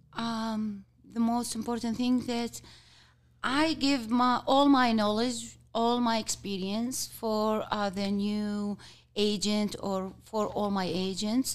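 Recorded very cleanly against a silent background, a woman with an Arabic accent speaks very slowly at a fairly high pitch with fairly even intonation. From Kuwait. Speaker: team lead. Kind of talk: interview. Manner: halting.

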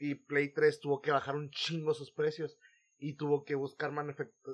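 A man speaks with a Mexican accent. His pitch is fairly high. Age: 20s. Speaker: podcast host. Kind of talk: casual chat.

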